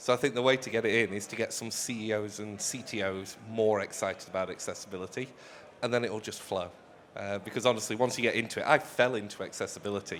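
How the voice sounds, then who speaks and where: Speaking at a very fast pace, the man has a fairly low pitch. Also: fairly even intonation. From UK. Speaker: accessibility consultant. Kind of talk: live panel chat. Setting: stage with audience.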